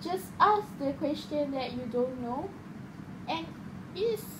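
Against noticeable background noise, a woman speaks at a very slow pace with a high pitch. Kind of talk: casual conversation practice. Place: home room. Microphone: phone near.

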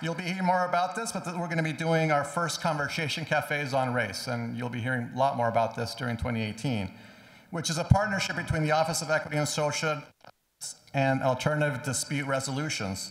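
In a quiet background with audible room echo, a man talks at a fairly quick pace with ordinary pitch variation. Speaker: event host, emcee. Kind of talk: ceremonial speaker introduction. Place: church. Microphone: podium.

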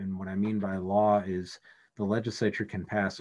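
A man with a plain, everyday voice, fairly low pitch and an American accent at a moderate pace against a quiet background. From Vermont, US (Richmond); Vermont. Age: 50s. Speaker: government lawyer. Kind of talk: lecture. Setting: video call. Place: office. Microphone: video call.

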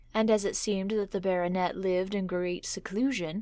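A woman's ordinary speaking voice at medium pitch, delivered at a fairly quick pace. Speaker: storyteller. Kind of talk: horror story reading.

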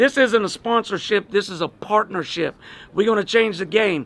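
The man's voice sits at a high pitch, with ordinary pitch variation. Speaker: fight league host. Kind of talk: sponsor announcement to camera. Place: open country.

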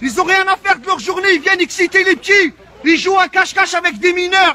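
Against crowd noise, a man projects a raised voice at an extremely high pitch. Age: 30s. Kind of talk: heated confrontation. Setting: outdoors. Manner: loud; fast. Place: street. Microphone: phone near.

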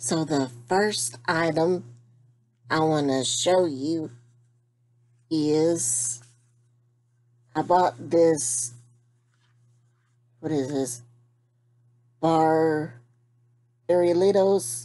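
A woman with a very deep, low pitch and a dark, mellow tone speaks very slowly, with ordinary pitch variation and long, frequent pauses. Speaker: vlogger. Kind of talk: casual vlog chat. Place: home room. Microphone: webcam.

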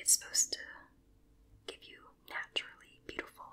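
Whispering at a fairly quick pace, the speaker's loudness swings widely. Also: woman. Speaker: beauty vlogger. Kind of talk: casual vlog chat, product tutorial. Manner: soft, hushed ASMR reading voice. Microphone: phone near.

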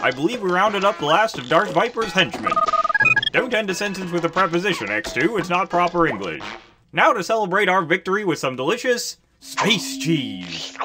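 Faint music plays in the background behind a cartoonish character voice at a middle pitch. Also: moderate pace. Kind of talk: cartoon comic voice acting. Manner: prissy, fussy, exasperated.

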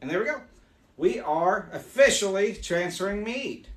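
Speaking at a moderate pace, a man uses a high pitch and lively intonation.

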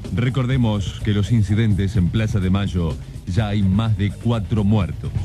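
Over clear background music, a man with a fairly low pitch and ordinary pitch variation talks at a fairly slow pace with very even loudness. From Argentina. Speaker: radio newsreader. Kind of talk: radio news bulletin. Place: studio.

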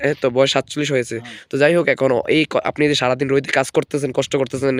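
Here is a plain, everyday voice. Its intonation stays fairly even. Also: man, dry, close sound with no echo. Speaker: video blogger. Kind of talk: casual vlog chat.

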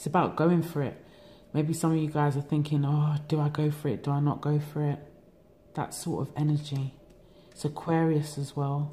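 With a London accent, a woman speaks in a very deep, low pitch, a dark, mellow and somewhat breathy tone, and monotone, flat intonation. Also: moderate pace. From England. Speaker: tarot reader. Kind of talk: tarot reading monologue. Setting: home recording. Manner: relaxed. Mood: calm, reflective. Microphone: phone near.

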